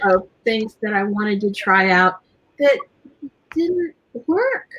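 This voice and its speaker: The pace is very slow. The pitch swings very widely. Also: woman, fairly high pitch for a woman. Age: 60s. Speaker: beauty and skincare show host. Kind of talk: live stream casual chat.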